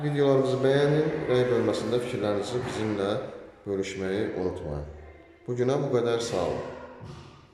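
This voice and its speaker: Amid noticeable background noise and audible room echo, a man at a medium pitch speaks at a moderate pace with ordinary pitch variation. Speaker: real estate agent. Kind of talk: property tour video.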